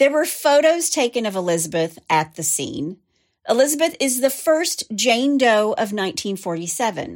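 A woman with a Southern US accent speaks with very wide pitch swings, recorded very cleanly against a silent background. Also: fairly high pitch for a woman, moderate pace. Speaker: true crime podcast host. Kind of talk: true-crime narration, steady storytelling read with dramatic, conversational asides. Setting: studio. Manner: animated.

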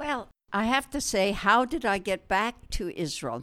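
A woman with a western Canadian accent, fairly slow pace and very wide pitch swings on a very clean recording, silent background. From Canada, Alberta (farm near Wetaskiwin). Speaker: retired nurse. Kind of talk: interview storytelling. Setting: at home.

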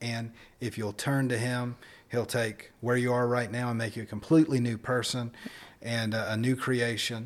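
This man has a medium pitch. His pace is moderate. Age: 30s. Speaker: podcast co-host. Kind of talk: casual chat.

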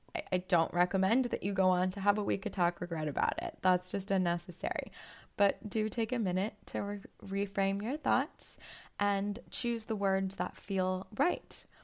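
In a very clean recording with a silent background, a woman with a plain, everyday voice talks at a moderate pace and medium pitch with ordinary pitch variation. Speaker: podcast host and psychotherapist. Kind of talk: solo podcast monologue on psychology.

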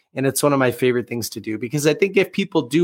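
A man with an American accent speaks in a normal speaking voice. His pitch is medium and his intonation lively. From US Northeast, Boston area. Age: 20s. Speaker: author and marketing agency founder. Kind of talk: interview conversation.

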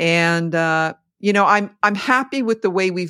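A woman talks in a very clean recording where the background is silent. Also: dry, close sound with no echo. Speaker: podcast co-host. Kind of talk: casual conversational podcast chat. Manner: animated, swears.

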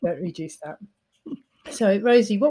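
A woman's somewhat breathy, dark, mellow voice at a medium pitch, very fast pace and lively intonation. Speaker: podcast host. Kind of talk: casual interview chat.

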